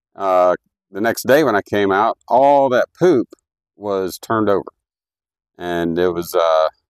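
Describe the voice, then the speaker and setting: In an American accent, the speaker goes at a fairly slow pace with ordinary pitch variation, the sound dry and close with no echo. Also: man. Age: 60s. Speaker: homesteader. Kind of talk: tutorial. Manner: casual, halting with fillers.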